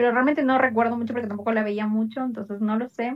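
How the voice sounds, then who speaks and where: A woman with a high pitch. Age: 20s. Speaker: podcast co-host. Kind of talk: casual chat.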